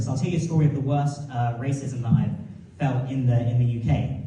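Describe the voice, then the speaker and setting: Audible room echo and noticeable background noise run through the clip. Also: man. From North London, England. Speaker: comedian. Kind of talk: stand-up.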